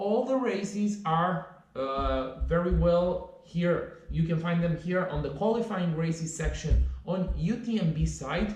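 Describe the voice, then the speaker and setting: With audible room echo and noticeable background noise, the speech moves at a fairly slow pace with ordinary pitch variation and hardly any pauses. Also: man, high pitch for a man. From Romania. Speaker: trail runner and vlogger. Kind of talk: vlog tutorial. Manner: casual, some hesitations.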